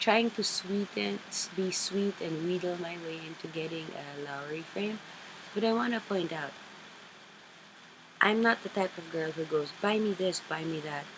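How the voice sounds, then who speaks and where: A woman with a Filipino accent, her fairly low pitch at a moderate pace with long, frequent pauses, over noticeable background noise. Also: ordinary pitch variation. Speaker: craft vlogger. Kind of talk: casual chat. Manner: halting.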